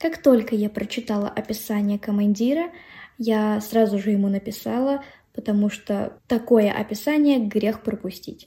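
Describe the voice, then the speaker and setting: Fairly slow and somewhat breathy, a woman speaks with a fairly high, dark and mellow voice and ordinary pitch variation. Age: 20s. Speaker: podcast host. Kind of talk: monologue.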